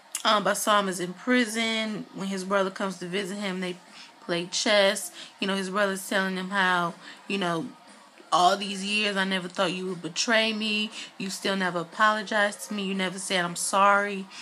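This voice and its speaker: A woman's bright, sharp voice holds a monotone, flat intonation. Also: medium pitch for a woman, moderate pace. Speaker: YouTube TV reviewer. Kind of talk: casual TV episode recap. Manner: hesitant, many fillers.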